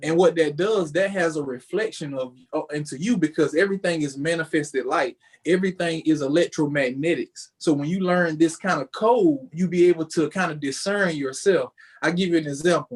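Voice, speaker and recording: A man talks at a fairly quick pace. His pitch sits high. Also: ordinary pitch variation. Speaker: spiritual entrepreneur. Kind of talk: podcast interview. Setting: home office, remote call.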